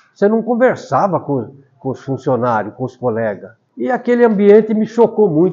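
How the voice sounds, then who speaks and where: A man is talking here. Very wide swings mark his pitch. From rural São Paulo state, Brazil. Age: 70s. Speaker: retired teacher and author. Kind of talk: interview, life story.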